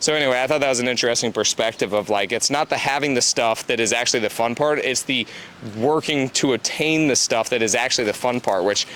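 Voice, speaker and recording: A man talks at a very fast pace in a medium pitch. Noticeable background noise runs beneath him. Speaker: real estate investor and podcast host. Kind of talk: casual chat.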